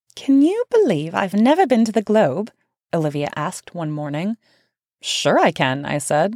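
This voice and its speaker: A woman at a medium pitch with very wide pitch swings and a moderate pace, on a very clean recording with a silent background that sounds dry and close, with no echo. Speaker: author narrating own book. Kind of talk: reading aloud.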